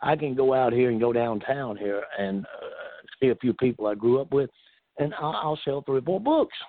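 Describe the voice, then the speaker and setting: Speaking at a moderate pace, a man talks in a Southern US accent. His pitch sits in the medium range. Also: ordinary pitch variation. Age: 70s. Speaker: retired pro wrestler. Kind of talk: casual interview.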